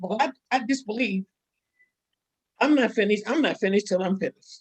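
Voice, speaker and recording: A woman's somewhat breathy, fairly high voice at a fairly quick pace, with ordinary pitch variation and a dry, close sound with no echo. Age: 80s+. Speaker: church women's event speaker. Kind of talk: testimony.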